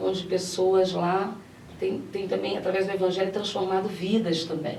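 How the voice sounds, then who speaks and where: A woman in a Rio de Janeiro accent, medium-pitched and monotone with flat intonation, at a moderate pace, with noticeable background noise and audible room echo. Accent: Rio de Janeiro (carioca). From Brazil, Minas Gerais. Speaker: pastor. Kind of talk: TV interview. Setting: TV studio, live broadcast.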